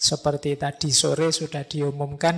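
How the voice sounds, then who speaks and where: A man speaks with a fairly high, somewhat breathy voice. His intonation is monotone and flat. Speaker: philosophy lecturer. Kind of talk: religious lecture. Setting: mosque with live audience. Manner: casual, conversational.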